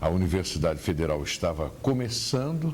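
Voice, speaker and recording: A man speaks at a moderate pace in a very deep, low voice with vocal fry and very wide pitch swings, and the room echo is audible. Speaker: veteran radio journalist. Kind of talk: interview about career memories. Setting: at his home.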